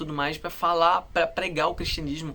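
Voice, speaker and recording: A man with a fairly high pitch. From Brazil. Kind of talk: casual monologue to camera. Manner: calm; halting.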